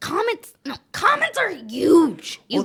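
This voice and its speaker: A woman puts on a character voice with an extremely high pitch and very wide pitch swings. She speaks at a fairly slow pace. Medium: comedy sketch. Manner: reasonable, exasperated.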